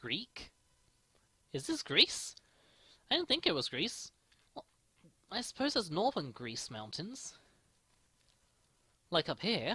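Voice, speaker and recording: Long, frequent pauses interrupt speech that goes at a fairly slow pace. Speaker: gaming youtuber. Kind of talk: let's play commentary.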